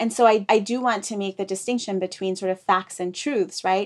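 On a very clean recording with a silent background, a woman with a medium-pitched voice and an American accent speaks fairly quickly in a flat monotone. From East Africa and UK, raised internationally. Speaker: author. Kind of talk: interview.

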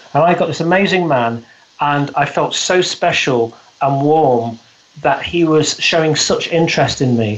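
With a British accent, a man talks fairly slowly at a fairly high pitch and ordinary pitch variation. His loudness stays very even over noticeable background noise. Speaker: business coach and speaker. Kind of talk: interview. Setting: remote call from the UK.

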